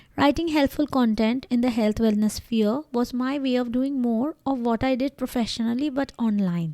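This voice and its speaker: A woman's high voice with a Bengali accent, a dark, mellow tone, ordinary pitch variation, very even loudness, hardly any pauses and a dry, close sound with no echo. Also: moderate pace. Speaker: doctor, blogger and podcaster. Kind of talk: scripted narration.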